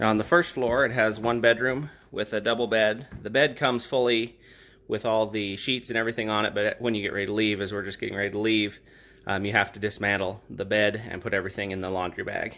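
Words pour out of a man very quickly in a fairly low register. His intonation stays fairly flat. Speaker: guest. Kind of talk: casual vlog tour narration. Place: home room. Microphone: phone near.

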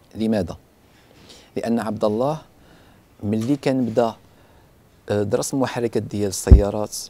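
A man talks at a fairly slow pace, with a fairly low pitch and fairly even intonation. Long pauses come often. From Morocco, Tetouan. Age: 20s. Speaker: inventor. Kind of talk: interview.

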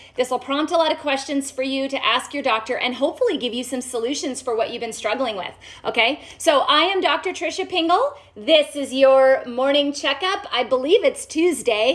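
Speech comes at a moderate pace with ordinary pitch variation. The background is quiet. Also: woman. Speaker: doctor hosting a health live stream. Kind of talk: live stream health talk. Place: home room.

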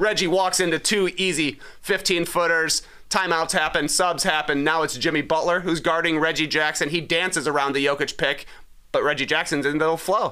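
Over a quiet background, a man talks at a moderate pace in a high pitch with a bright, sharp tone, very even loudness and fairly even intonation. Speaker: sports podcast co-host. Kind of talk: casual chat. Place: studio. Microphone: studio mic.

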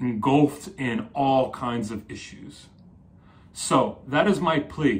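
Somewhat breathy, a man with an American accent speaks at a very slow pace. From New Jersey. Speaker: psychotherapist. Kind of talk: solo video talk. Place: home room.

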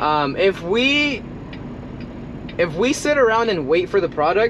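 Over noticeable background noise, a man speaks fairly slowly with very wide pitch swings. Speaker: truck driver vlogger. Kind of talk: casual vlog chat. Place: car. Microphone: camera far.

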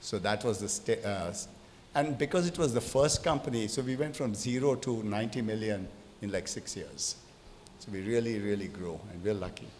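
Some light noise sits in the background. The man speaks at a moderate pace. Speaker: speaker. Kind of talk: panel discussion answer. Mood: relaxed storytelling. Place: hall. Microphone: handheld.

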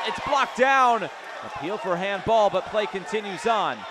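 Noticeable background noise accompanies a man with a high pitch. He speaks at a moderate pace with lively intonation. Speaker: match commentator. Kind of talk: live sports commentary, play-by-play. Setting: stadium, commentating at the match.

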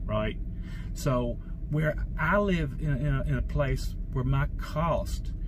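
A man talks slowly at a medium pitch with ordinary pitch variation. Clear background noise can be heard.

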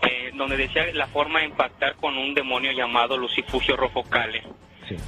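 There is noticeable background noise as a man speaks at a moderate pace. His pitch is medium. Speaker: self-described satanist interviewed on a paranormal radio show. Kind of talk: interview answer. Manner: hesitant, halting.

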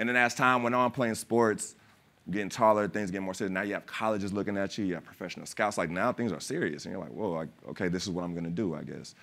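A man talks very fast in a fairly low voice with ordinary pitch variation, his loudness swinging widely. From California, family from West Philadelphia. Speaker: actor and former pro basketball player; actor. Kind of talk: panel discussion. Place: stage. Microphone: lapel.

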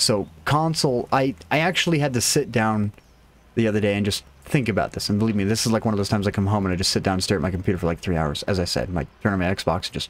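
A man talks at a very fast pace with lively intonation. His pitch sits fairly low. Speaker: game streamer. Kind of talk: casual commentary.

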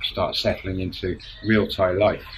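A man speaks in a British accent. Light background noise can be heard. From UK. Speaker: vlogger, expat retiree. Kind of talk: casual vlog monologue. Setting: outdoors at home, filming to camera. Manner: halting. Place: home room. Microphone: phone near.

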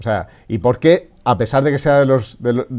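A man talks in a dark, mellow tone against a quiet background. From Spain. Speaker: podcast host. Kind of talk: interview. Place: office. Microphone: webcam.

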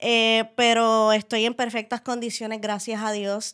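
A woman with a plain, everyday voice, fairly high pitch and a fairly slow pace, against a quiet background. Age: 20s. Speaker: wheelchair user and interviewer; podcast guest. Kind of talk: casual interview. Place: studio. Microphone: studio mic.

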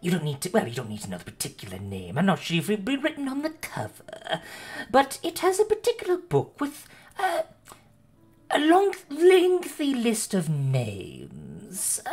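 A put-on character voice with fairly high pitch moves at a fairly slow pace. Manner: fussy, impatient, falsely polite.

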